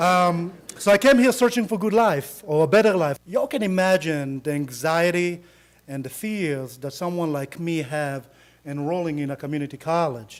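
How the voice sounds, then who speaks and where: A man speaks in a high pitch with an Israeli accent. His pace is moderate and his intonation lively. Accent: Israeli accent, noticeable. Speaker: attorney, college alumnus. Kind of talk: speech to audience.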